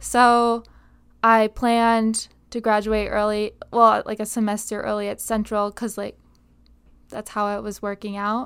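In an American accent, a woman talks at a fairly slow pace with monotone, flat intonation. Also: fairly high pitch for a woman. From Upstate New York, Binghamton. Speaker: college volleyball player. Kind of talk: casual interview.

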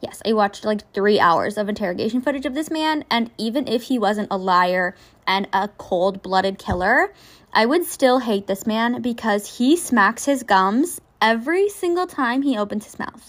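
A woman with a Canadian accent and an ordinary speaking voice, at a moderate pace, with big swings in loudness. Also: fairly high pitch for a woman, very clean recording, silent background. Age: 20s. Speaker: true crime podcaster. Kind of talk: casual true crime narration. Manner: casual, with frequent fillers.

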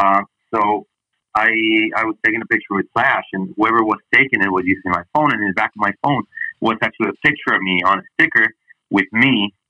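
A man's fairly low voice with a Spanish accent, fairly quick in pace, with ordinary pitch variation. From Mexico City. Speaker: sports broadcaster. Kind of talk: casual interview.

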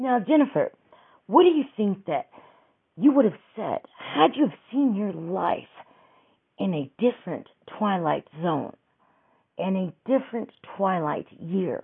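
Animated and slow-ish, a woman talks at a fairly slow pace in a medium pitch with very wide pitch swings and long, frequent pauses. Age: 50s. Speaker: podcaster. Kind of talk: casual monologue. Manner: rambling with fillers.

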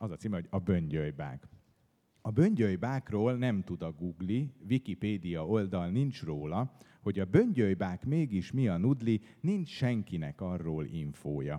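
Against a quiet background, a dark, mellow tone carries lively intonation at a fairly slow pace. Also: man, very deep, low pitch for a man. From Hungary, Budapest. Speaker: poet. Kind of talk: book presentation talk; reading aloud. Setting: stage with audience.

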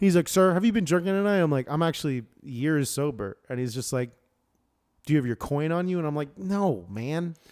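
A man with an unremarkable speaking voice talks at a fairly high pitch and fairly quick pace with lively intonation. The recording is very clean, with a silent background. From Florida. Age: 30s. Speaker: podcast co-host. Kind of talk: casual chat.

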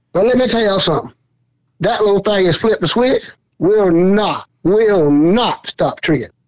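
A fairly quick delivery in a Southern Georgia accent, with lively intonation and very even loudness. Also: man. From US South, southeast Georgia. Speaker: squirrel dog hunter. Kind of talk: casual chat.

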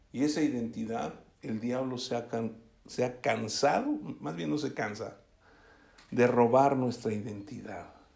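There is audible room echo as a man with vocal fry talks at a medium pitch and a fairly slow pace, leaving long, frequent pauses, his pitch varying in an ordinary way. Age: 60s. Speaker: pastor. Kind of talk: sermon.

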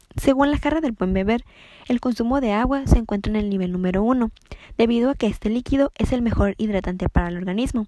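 Her tone is dark and mellow, her pitch fairly high. This woman keeps a fairly quick pace with ordinary pitch variation. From Mexico, Ensenada, Baja California. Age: young. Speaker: nutrition student. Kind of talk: scripted tips monologue.

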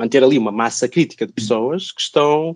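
Here is a man with an ordinary speaking voice, talking at a moderate pace with ordinary pitch variation. The sound is dry and close with no echo, over a quiet background. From northern Portugal, Braga. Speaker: physics professor. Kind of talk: podcast interview.

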